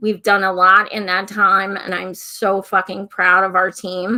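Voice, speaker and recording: A woman puts on a raspy character voice at medium pitch. She speaks at a moderate pace in a monotone, flat intonation. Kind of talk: casual, profane speech.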